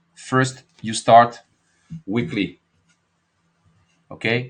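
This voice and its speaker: A man is speaking. He has a French accent. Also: quiet background. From France. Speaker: market analyst and trading educator. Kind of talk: live market analysis webinar. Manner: halting, with many fillers.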